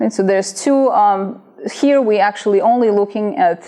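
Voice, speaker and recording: Noticeable background noise fills the space as a woman talks fairly quickly. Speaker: professor. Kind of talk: lecture.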